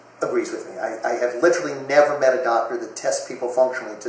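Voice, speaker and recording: A man at a medium pitch with ordinary pitch variation, amid noticeable background noise. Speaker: chiropractor, nutritionist and naturopath. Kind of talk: unscripted casual interview answer.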